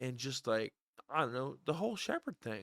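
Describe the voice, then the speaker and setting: A man talks at a medium pitch with an American accent. The sound is dry and close, with no echo. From Illinois. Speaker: YouTuber talking to an AI. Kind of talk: casual chat. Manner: halting, stumbling over words.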